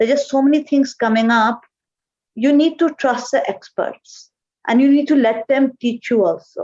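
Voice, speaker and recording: A woman with a Pakistani accent speaks at a high pitch. Her pace is moderate. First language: Urdu. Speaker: marketing executive. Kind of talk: interview.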